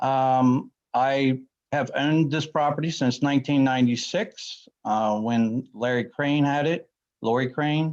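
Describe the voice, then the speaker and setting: Speaking at a fairly slow pace, a man with an American accent has a plain, everyday voice at a medium pitch with fairly even intonation. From Washington County, Maryland, US. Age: 50s. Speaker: neighbouring landowner. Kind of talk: public testimony.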